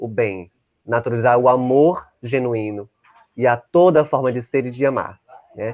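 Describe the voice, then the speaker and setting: A man with a normal speaking voice keeps a medium pitch, ordinary pitch variation and a moderate pace. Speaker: invited speaker on LGBT-phobia. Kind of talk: online talk. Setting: at home, online session.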